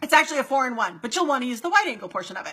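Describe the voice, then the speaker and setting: Projecting a raised voice, a woman speaks at a high pitch in an animated tone that sounds bright and sharp. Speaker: marketing coach for real estate agents. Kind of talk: live stream Q&A. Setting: Facebook live stream. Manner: fast.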